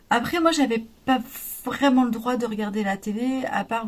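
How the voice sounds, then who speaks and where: A somewhat breathy woman's voice, fairly high in pitch, at a fairly slow pace. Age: 40s. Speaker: crafts youtuber. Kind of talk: podcast-style monologue. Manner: hesitant, many fillers.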